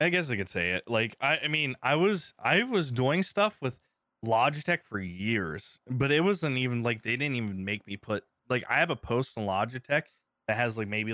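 In an American accent, the speaker uses lively intonation and a bright, sharp tone, captured dry and close with no echo on a very clean recording with a silent background. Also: man. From Ohio. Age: 30s. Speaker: streamer and content creator. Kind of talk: casual interview chat.

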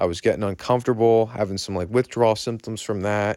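The speaker has an American accent and talks at a fairly quick pace. The intonation stays fairly even. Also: man. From Berks County, Pennsylvania, US. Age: 20s. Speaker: recovering alcoholic sharing his story. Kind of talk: personal testimony. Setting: self-recorded remotely and sent in.

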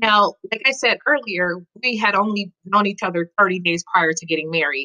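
A woman speaks with a bright, sharp tone and ordinary pitch variation. The sound is dry and close, with no echo. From Colorado, US (Denver). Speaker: military spouse and writer. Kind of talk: interview.

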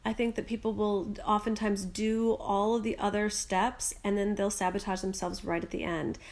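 With an American accent, a woman speaks at a moderate pace and medium pitch. Her intonation is monotone and flat, with hardly any pauses. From US Midwest. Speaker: life coach. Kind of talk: interview.

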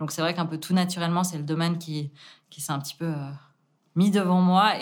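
On a very clean recording with a silent background, a woman speaks fairly quickly in a fairly low, flat, monotone voice. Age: 20s. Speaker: winemaker. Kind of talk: interview.

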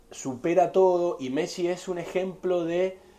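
A man talks fairly slowly, his high-pitched voice carrying a dark, mellow tone. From Argentina, Mendoza. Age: 30s. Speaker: winery representative. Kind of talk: interview about wine. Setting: in person.

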